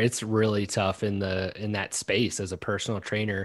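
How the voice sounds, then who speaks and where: A fairly low-pitched male voice with a slight Southern US accent. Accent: slight drawl. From Maryland, US. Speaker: content marketing founder. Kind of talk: interview. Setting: remote recording. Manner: casual, filler-heavy.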